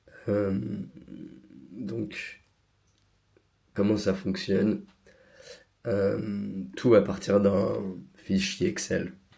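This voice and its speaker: This man talks very slowly, with long, frequent pauses and a fairly low pitch marked by vocal fry. His tone is dark and mellow, his pitch varies in an ordinary way, and room echo can be heard. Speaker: tech tutorial creator. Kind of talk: tutorial. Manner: hesitant, many fillers.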